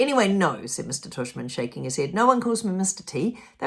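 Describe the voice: The clip is plain reading aloud. Someone reads a text out.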